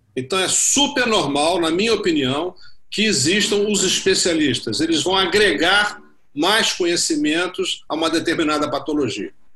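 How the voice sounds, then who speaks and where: Against noticeable background noise, a man talks at a moderate pace in a high voice with lively intonation. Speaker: orthopedic surgeon. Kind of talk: panel discussion.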